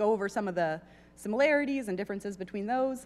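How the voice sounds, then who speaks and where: A woman speaks with a fairly high pitch and lively intonation. Her recording is very clean, with a silent background. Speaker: zoologist giving a talk. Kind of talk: lecture. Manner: loud.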